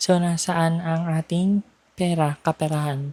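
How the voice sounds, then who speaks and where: A soft-spoken woman talks at a very slow pace. The sound is dry and close with no echo, over noticeable background noise. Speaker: vlogger. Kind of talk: casual walking vlog. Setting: outdoors, walking on street at night.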